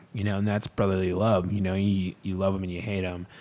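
A man with an American accent talks at a very fast pace in a very deep, low pitch. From Chicago area, Illinois. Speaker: nonprofit founder. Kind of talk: casual interview chat. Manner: animated.

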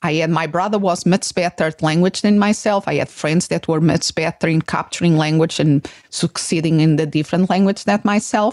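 With a Portuguese accent and a fairly low pitch, a woman speaks with ordinary pitch variation in a dry, close sound with no echo. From Portugal. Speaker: psychologist and podcast host. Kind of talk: interview.

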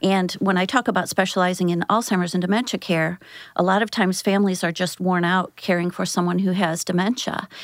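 With an American accent, a woman speaks at a fairly quick pace in a medium pitch, her loudness very even and her intonation fairly even, an unremarkable speaking voice. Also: very clean recording, silent background. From US Midwest, St. Louis area. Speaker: home care outreach director. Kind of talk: interview.

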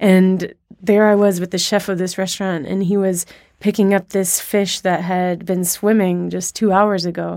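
On a very clean recording with a silent background, a woman with an American accent speaks at a moderate pace and medium pitch in a dark, mellow tone with monotone, flat intonation. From US South (Alabama). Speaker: food writer. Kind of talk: interview.

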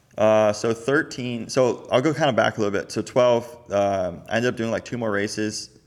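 A plain, everyday voice at a fairly quick pace. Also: man, medium pitch for a man, fairly even intonation. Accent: American. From Florida. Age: 30s. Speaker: professional motocross racer. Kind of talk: casual chat.

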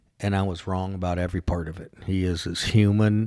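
A man with a Californian accent and a very deep, low pitch, monotone and flat, on a very clean recording with a silent background. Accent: General American (Californian). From Southern California, Orange County. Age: 50s. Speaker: business owner. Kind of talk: casual interview. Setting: office.

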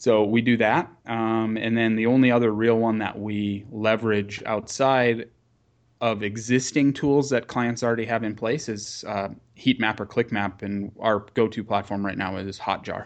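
A man with an ordinary speaking voice talks at a moderate pace and medium pitch, using fairly even intonation over a quiet background. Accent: American. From US Upper Midwest, rural North Dakota. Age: 30s. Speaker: marketing company founder. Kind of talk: podcast interview.

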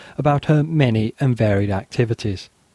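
With lively intonation and a moderate pace, a man's dark, mellow voice comes across dry and close, with no echo. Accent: northern English. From northern England. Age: 40s. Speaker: history podcaster. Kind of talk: casual chat; scripted narration.

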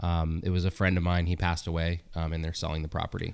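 A man with a Californian accent talks at a very fast pace. The recording is very clean, with a silent background. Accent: General American (Californian). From US West Coast, Sonoma, California. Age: 30s. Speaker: winemaker. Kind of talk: casual chat. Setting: studio.

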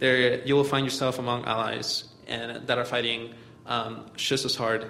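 The speech comes at a moderate pace in a flat monotone, with noticeable background noise and audible room echo. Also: man. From Mexico, Chihuahua. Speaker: community organizer. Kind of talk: talk to a church group.

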